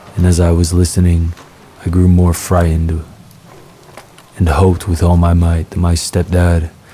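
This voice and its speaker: Through noticeable background noise, a man with a very deep, low pitch speaks at a moderate pace in a monotone, flat intonation. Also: long, frequent pauses, very even loudness. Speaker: horror story narrator. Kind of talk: sleep story, horror narration told to rain.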